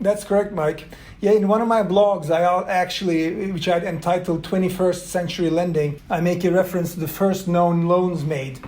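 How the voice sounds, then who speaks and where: A high-pitched man's voice at a moderate pace, fairly even in intonation, with audible room echo and noticeable background noise. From Turkey. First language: Turkish and Swedish. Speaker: venture capital investor. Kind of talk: interview conversation.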